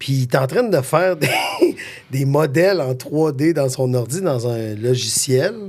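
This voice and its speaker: Against noticeable background noise, a man with a Quebec accent speaks fairly slowly in an animated tone at a fairly high pitch, with ordinary pitch variation. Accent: Québécois French. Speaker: podcast guest, father. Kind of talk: casual chat.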